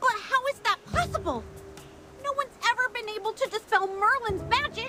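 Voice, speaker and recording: Over clear background music, a put-on character voice at an extremely high pitch speaks at a moderate pace. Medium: video game. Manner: refers to self in third person.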